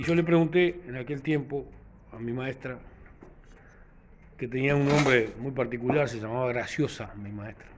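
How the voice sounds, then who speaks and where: Long, frequent pauses break up speech at a moderate pace, with big swings in loudness and ordinary pitch variation. Noticeable background noise is present. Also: man, medium pitch for a man. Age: 60s. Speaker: vlogger. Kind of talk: casual reflective monologue. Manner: halting, many fillers.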